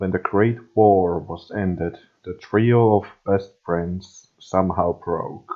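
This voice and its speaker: A man speaks with a non-native accent at a fairly low pitch. His pace is very slow and his intonation monotone and flat. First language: not English. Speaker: fan fiction reader. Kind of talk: reading aloud. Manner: halting.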